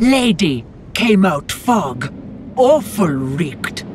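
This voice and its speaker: In a put-on character voice at middle pitch, the speaker goes at a very slow pace with very wide pitch swings over clear background noise. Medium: video game. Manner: broken, halting grammar.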